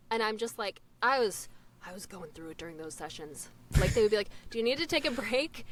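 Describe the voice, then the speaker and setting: Talking very fast, a woman uses a fairly high pitch with very wide pitch swings and big swings in loudness. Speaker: voice actor. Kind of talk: casual chat.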